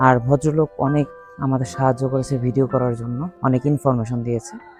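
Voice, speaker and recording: A man's voice sits at a medium pitch, his intonation fairly even. Background music plays throughout. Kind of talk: travel vlog narration.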